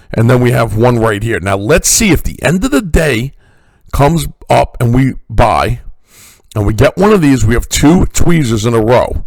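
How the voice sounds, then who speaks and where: Pitched at a medium level, a man speaks with lively intonation and an animated tone at a moderate pace. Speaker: stock market educator. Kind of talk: market analysis tutorial.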